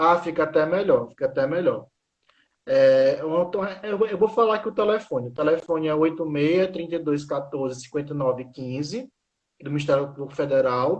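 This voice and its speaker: A man with an ordinary speaking voice and a fairly high pitch talks at a moderate pace, his pitch varying in an ordinary way. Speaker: law professor. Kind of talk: informational talk on a live stream. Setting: online live stream.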